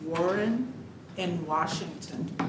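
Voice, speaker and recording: A woman's very slow speech amid noticeable background noise and audible room echo. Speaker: director of a county legal agency. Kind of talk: formal presentation at budget hearing. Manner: formal.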